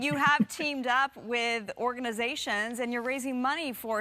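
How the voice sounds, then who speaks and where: A woman speaks in a high pitch. There is noticeable background noise. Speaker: TV news anchor. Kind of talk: TV news interview. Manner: enthusiastic.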